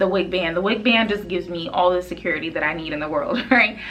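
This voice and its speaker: Against noticeable background noise and audible room echo, a woman talks at a medium pitch with ordinary pitch variation. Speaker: beauty vlogger. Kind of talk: product review. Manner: fast; casual, many fillers.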